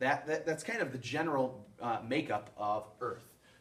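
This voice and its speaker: With audible room echo, a man speaks at a moderate pace with lively intonation. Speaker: science teacher. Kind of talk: recorded lecture video.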